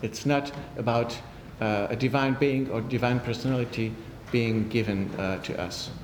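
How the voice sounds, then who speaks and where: Over noticeable background noise, a man with a French accent speaks at a fairly slow pace and medium pitch. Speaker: priest and theology lecturer. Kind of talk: answering audience questions; lecture. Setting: conference with audience. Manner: formal; halting.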